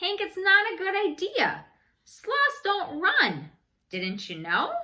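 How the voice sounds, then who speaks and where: A woman speaks very slowly in a put-on character voice, her pitch extremely high and her loudness swinging widely. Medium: read story.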